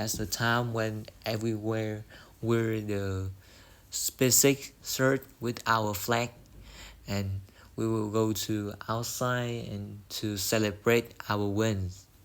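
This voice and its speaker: Delivered at a very slow pace in a flat monotone, the speech sits on a very clean recording with a silent background. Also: man, fairly low pitch for a man. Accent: Vietnamese. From Vietnam. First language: Vietnamese. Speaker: English learner. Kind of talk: speaking test practice. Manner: halting.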